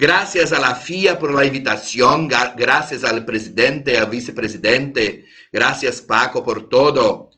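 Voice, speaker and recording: With hardly any pauses, a man talks at a fairly slow pace and a medium pitch in a bright, sharp tone, with audible room echo. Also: ordinary pitch variation. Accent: Brazilian. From Brazil. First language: Portuguese (speaking Spanish). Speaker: lawyer, conference speaker. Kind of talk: conference talk. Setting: video call. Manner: halting.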